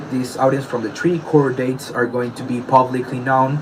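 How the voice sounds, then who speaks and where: Over noticeable background noise, a man with a non-native accent speaks at a medium pitch. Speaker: beatboxer. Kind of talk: personal statement addressing allegations. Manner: halting.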